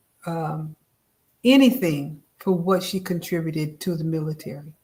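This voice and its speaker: A woman with a fairly low, somewhat breathy voice talks at a fairly slow pace. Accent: American. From upstate New York. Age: 70s. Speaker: author and descendant. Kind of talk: interview.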